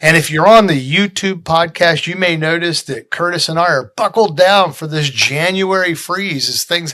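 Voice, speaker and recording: A man speaks at a moderate pace with a fairly high pitch and ordinary pitch variation. His tone is bright and sharp. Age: 60s. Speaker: defense policy podcast host. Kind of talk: casual chat. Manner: unscripted, off the cuff.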